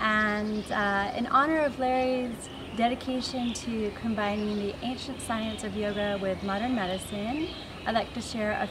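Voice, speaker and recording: Against noticeable background noise, a woman talks at a moderate pace with ordinary pitch variation. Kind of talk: congratulatory address to camera. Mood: warm, grateful. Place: garden.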